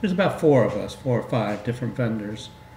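A man is speaking with audible room echo. Light background noise is present too. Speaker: guest. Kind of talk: interview answer. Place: studio.

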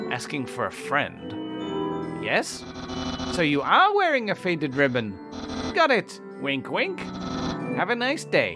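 Clear music plays in the background. The speaker uses a put-on character voice at a fairly slow pace. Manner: theatrical, eager.

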